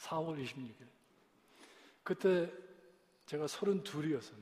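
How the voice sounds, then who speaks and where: A man speaks with lively intonation. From US, Korean-American. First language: English (speaking Korean). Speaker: pastor. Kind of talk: sermon. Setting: church. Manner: halting.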